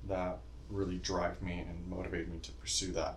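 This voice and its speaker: A man speaks with an American accent, his pitch swinging very widely. Vocal fry shows in his voice, and the room echo is audible. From North Carolina. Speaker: student. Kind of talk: casual chat.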